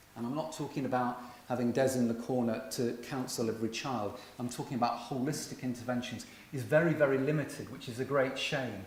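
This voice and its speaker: Against audible room echo, a man with an English accent talks fairly quickly at a medium pitch, his intonation fairly even. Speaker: virtual school head, conference speaker. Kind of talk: conference talk.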